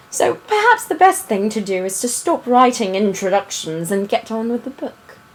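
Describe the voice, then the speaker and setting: A woman speaks fairly slowly in a fairly high pitch, with very wide pitch swings. Background noise is noticeable. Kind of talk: book reading aloud of a children's story. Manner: casual, conversational.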